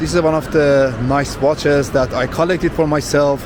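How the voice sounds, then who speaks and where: A man with a non-native accent at a fairly slow pace, over noticeable background noise. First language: not English. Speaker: vlogger. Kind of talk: walking tour vlog. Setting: shopping mall. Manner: animated.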